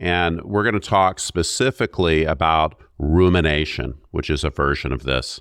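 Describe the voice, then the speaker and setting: A man talks at a moderate pace with hardly any pauses, his very deep, low pitch varying in an ordinary way and showing vocal fry. The recording is very clean, with a silent background. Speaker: podcast co-host. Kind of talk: casual chat.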